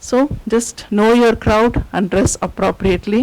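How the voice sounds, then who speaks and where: A speaker with an Indian accent comes through over noticeable background noise. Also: woman. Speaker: university lecturer. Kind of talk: lecture.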